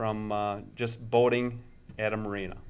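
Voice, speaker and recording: Fairly slow delivery in an Upper Midwest US accent, with audible room echo. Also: man. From Minnesota, Stillwater. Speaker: marina owner. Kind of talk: interview answers. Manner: hesitant, many fillers.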